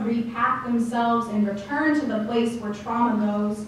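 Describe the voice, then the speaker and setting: A woman talks at a moderate pace with a fairly high pitch. Noticeable background noise is present. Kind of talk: slam poetry performance.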